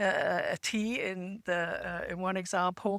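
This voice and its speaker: A woman speaks in a British accent with fairly even intonation. The sound is dry and close with no echo, on a very clean recording with a silent background. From England. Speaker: podcast panelist. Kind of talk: casual chat.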